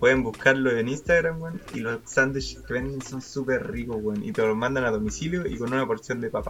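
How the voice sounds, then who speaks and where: A man with a Chilean accent, medium pitch, ordinary pitch variation, a fairly quick pace, hardly any pauses, and noticeable background noise. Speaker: podcast host. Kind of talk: casual chat.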